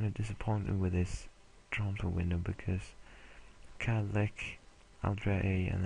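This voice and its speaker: A man speaks at a fairly slow pace with a somewhat breathy, fairly low voice and monotone, flat intonation. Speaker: video game let's play creator. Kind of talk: casual gameplay commentary. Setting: home recording late at night. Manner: hesitant, many fillers.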